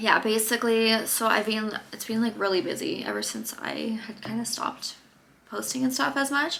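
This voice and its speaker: A soft-spoken woman talks at a moderate pace and a fairly high pitch. Noticeable background noise sits behind her. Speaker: vlogger. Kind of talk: casual chat.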